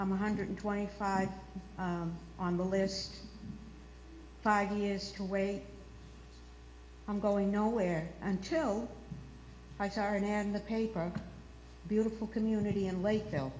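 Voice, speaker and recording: With audible room echo, a woman speaks at a moderate pace and medium pitch, her intonation fairly even and her pauses long and frequent. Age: 70s. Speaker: resident speaking at town meeting. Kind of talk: public meeting speech. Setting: town meeting.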